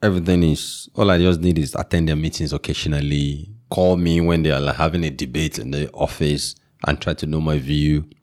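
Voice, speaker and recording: Speaking at a fairly quick pace with hardly any pauses, a man with a Nigerian accent has a very deep, low pitch and fairly even intonation. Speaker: tech entrepreneur and local chief. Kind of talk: casual interview.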